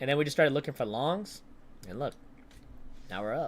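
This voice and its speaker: The man's voice sits at a fairly high pitch. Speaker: day trader streamer. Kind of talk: live stream commentary. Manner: animated.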